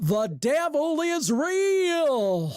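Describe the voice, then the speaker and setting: A put-on character voice with a high pitch and a Southern accent. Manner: solemn, preaching cadence.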